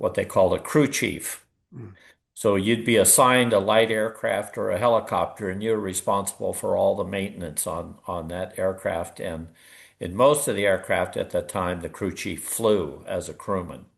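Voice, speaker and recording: A man with a Pacific Northwest accent at a moderate pace, the background quiet. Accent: American, Pacific Northwest. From US Pacific Northwest, Oregon. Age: 70s. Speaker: war veteran. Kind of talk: interview.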